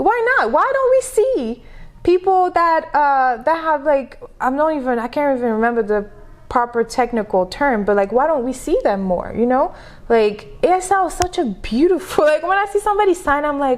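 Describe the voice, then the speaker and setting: With very wide pitch swings, a woman with a high pitch and a French accent talks at a moderate pace. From Senegal. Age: 30s. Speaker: entrepreneur and business coach. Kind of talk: podcast interview. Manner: animated.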